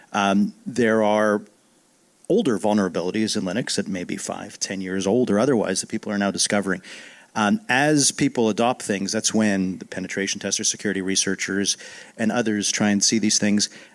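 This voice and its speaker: A man's normal speaking voice, fairly low in pitch and fairly quick, with fairly even intonation. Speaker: tech industry analyst or journalist. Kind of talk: panel discussion. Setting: conference stage with audience. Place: hall. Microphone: handheld.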